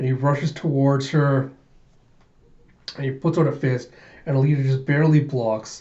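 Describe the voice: With audible room echo, a man speaks at a moderate pace and medium pitch in a dark, mellow tone with fairly even intonation.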